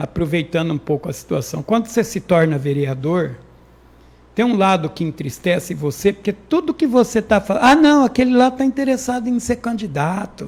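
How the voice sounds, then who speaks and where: With very wide pitch swings, a man keeps to a moderate pace as he talks. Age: 60s. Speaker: local politician, former city councillor. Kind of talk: interview. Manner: halting, repeats words.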